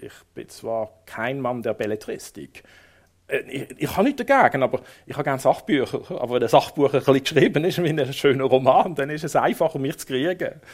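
A man with fairly high pitch and an unremarkable speaking voice, at a moderate pace, with ordinary pitch variation, big swings in loudness, and a very clean recording with a silent background. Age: 50s. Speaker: city tour guide and local chronicler. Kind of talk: public book talk. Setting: library stage with audience.

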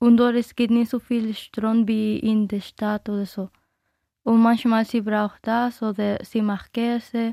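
In a Dominican accent, a woman speaks very slowly with a fairly high pitch, a dark, mellow tone and monotone, flat intonation, on a dry, close recording with no echo. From Dominican Republic. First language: Spanish (speaking German). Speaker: interviewee. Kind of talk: radio interview. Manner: halting, non-native German.

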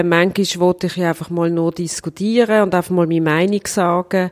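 This is a woman with a normal speaking voice. She goes at a moderate pace, and the sound is dry and close with no echo. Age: 40s. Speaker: cantonal government minister. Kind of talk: interview.

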